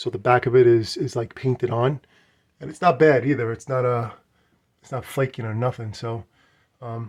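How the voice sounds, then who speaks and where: With an American accent, a man speaks at a medium pitch, his voice somewhat breathy and his intonation fairly even, on a very clean recording with a silent background. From New York. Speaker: arcade collector and YouTuber. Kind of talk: casual walkthrough video, selling a machine. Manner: fast; repetitive, stammering restarts.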